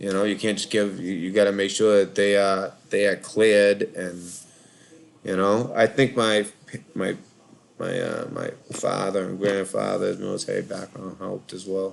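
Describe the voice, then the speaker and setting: Someone with a Boston accent talks at a moderate pace in a monotone, flat intonation. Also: man, fairly low pitch for a man. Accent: Boston accent, non-rhotic (drops R). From Boston, Massachusetts (Charlestown). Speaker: call-in show host, Navy veteran. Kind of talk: casual live call-in chat. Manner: rambling, hesitant with fillers.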